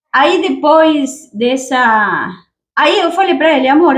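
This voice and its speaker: A high-pitched woman's voice with a Spanish accent and ordinary pitch variation. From Argentina. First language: Spanish (speaking Portuguese). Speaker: YouTuber, immigrant. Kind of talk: casual chat; storytelling.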